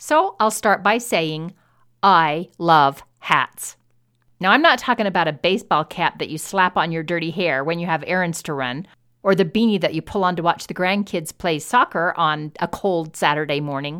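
A bright, sharp tone comes through on a very clean recording with a silent background. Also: woman, fairly low pitch for a woman, ordinary pitch variation. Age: 60s. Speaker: podcast host. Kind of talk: solo monologue. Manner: fast talker.

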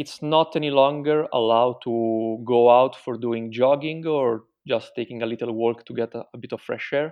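At a moderate pace with hardly any pauses, a man at a medium pitch keeps a fairly even intonation while his loudness swings widely. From Italy. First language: Italian. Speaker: Italian digital marketing professional living in Milan. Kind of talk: casual interview about life under coronavirus lockdown. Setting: remote call interview. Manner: hesitant, with frequent fillers.

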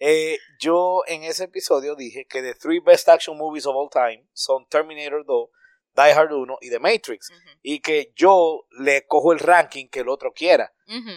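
Recorded very cleanly against a silent background, a man with a fairly high voice talks at a fairly slow pace, using ordinary pitch variation and big swings in loudness. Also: hardly any pauses, dry, close sound with no echo. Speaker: podcaster. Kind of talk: casual chat. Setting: recording away from studio, at home. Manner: animated.

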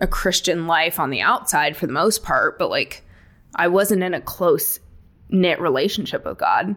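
A woman with an unremarkable speaking voice talks at a moderate pace in a fairly low pitch, on a very clean recording with a silent background. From California, Palm Springs area. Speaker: executive assistant, pastor's kid. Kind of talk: casual chat.

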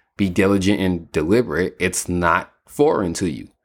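Speaking at a moderate pace, a man uses an animated tone and ordinary pitch variation on a very clean recording with a silent background. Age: 30s. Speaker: podcast host and fitness trainer. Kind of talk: solo podcast monologue.

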